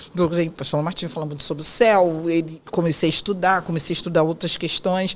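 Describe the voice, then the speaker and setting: A woman speaks over noticeable background noise. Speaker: psychoanalyst and women's mentor. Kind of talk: interview conversation.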